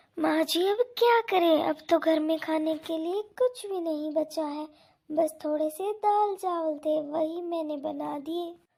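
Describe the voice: In a cartoonish character voice, a woman speaks at an extremely high pitch with vocal fry, a dark, mellow tone, ordinary pitch variation, few pauses and a fairly slow pace.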